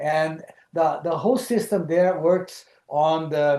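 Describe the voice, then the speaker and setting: With a Brazilian Portuguese accent, a man speaks at a very slow pace. His pitch is high, with ordinary variation. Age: 70s. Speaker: lodge founder. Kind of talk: webinar presentation. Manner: halting, many fillers.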